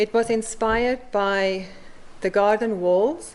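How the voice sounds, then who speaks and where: A woman speaks with a South African accent. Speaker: mosaic artist. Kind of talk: conference talk.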